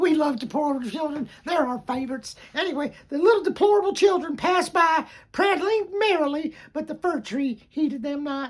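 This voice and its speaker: A high-pitched, put-on character voice. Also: moderate pace. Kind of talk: bedtime story. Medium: read story. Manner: rambling, easily sidetracked, enthusiastic.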